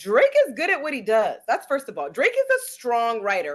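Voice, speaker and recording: Against a quiet background, a woman with a high, animated voice speaks at a moderate pace, her pitch swinging very widely. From West Indian. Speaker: podcast co-host. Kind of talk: casual chat.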